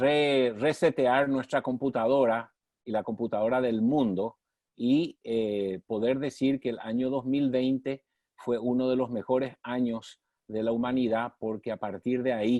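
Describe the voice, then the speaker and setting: A man in an unremarkable speaking voice, medium-pitched and fairly even in intonation, at a fairly slow pace, sounding dry and close with no echo over a quiet background. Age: 60s. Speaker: former mayor, development leader. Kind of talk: interview on online session.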